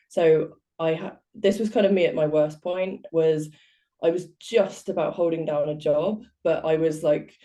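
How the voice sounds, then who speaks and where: In a British accent, a woman with a dark, mellow tone speaks at a fairly slow pace with ordinary pitch variation. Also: fairly low pitch for a woman. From southwest England. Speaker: life coach. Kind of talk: interview.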